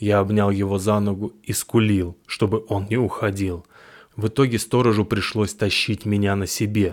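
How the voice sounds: Reading aloud in a natural reading voice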